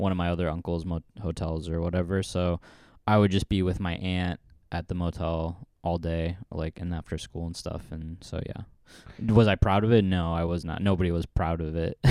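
A man with a West Coast accent speaks in a very deep, low pitch and a dark, mellow tone, his intonation monotone and flat, in a very clean recording with a silent background and a dry, close sound with no echo. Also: moderate pace. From US Pacific Northwest, Portland. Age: 30s. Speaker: comedian. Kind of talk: casual chat.

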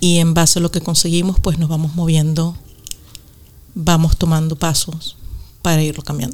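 Amid noticeable background noise, a woman talks at a moderate pace with a fairly low pitch. Her intonation is monotone and flat, with long, frequent pauses. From Venezuela. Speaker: podcast co-host, meditation guide. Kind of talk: casual chat.

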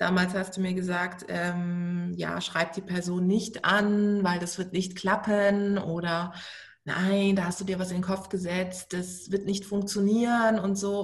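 The voice is somewhat breathy and very slow. Audible room echo surrounds it. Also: woman. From Baden, southwest Germany (Karlsruhe). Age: 30s. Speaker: entrepreneur and author. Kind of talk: interview.

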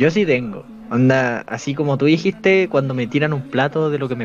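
Over noticeable background noise, a man speaks at medium pitch and a moderate pace. His intonation is lively. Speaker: podcast co-host. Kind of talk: casual chat.

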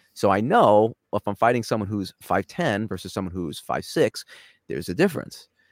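Talking at a moderate pace with a New York accent, a man with a fairly low voice shows ordinary pitch variation in a dry, close sound with no echo. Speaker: cybersecurity executive. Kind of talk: casual interview. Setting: video call.

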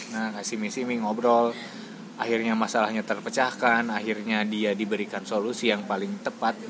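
Over noticeable background noise, a man with medium pitch talks at a fairly quick pace in a monotone, flat delivery. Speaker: podcast co-host and social worker. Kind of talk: casual chat.

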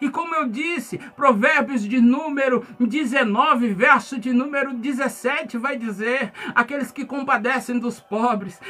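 Over noticeable background noise, a man speaks in a raised, projected voice at an extremely high pitch, with ordinary pitch variation. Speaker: pastor. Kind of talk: sermon.

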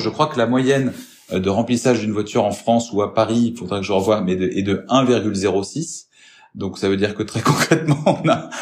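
A man talks at a medium pitch and moderate pace with lively intonation. Noticeable background noise sits behind him. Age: 30s. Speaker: business development manager at a mobility company. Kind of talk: interview.

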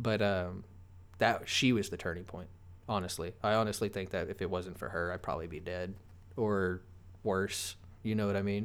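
Using fairly even intonation and a fairly low pitch, a man talks at a moderate pace with long, frequent pauses. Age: 20s. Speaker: podcast guest, father. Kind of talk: casual chat.

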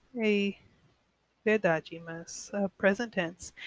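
A woman talks at a very slow pace, with a dry, close sound and no echo. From United States. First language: English (speaking Portuguese). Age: 20s. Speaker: podcaster learning Portuguese. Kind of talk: language-learner monologue. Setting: at home alone. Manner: halting.

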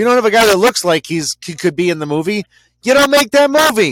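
Loud and fairly quick, a man's voice swings very widely in pitch. The sound is dry and close with no echo. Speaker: podcast co-host. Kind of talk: casual chat.

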